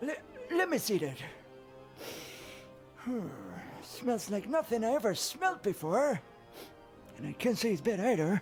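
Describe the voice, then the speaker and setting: Over clear music in the background, a man drawls in a put-on character voice at an extremely high pitch, with very wide pitch swings, a moderate pace, and long, frequent pauses. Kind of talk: video game voice acting. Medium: video game. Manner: folksy rural drawl, ungrammatical.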